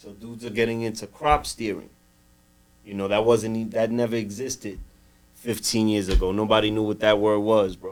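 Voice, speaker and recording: Speaking at a fairly quick pace with an American accent, a man uses a fairly low pitch and monotone, flat intonation, with big swings in loudness. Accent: New York Dominican American English. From New York City, Dominican. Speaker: cannabis grower and store owner. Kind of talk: casual podcast chat.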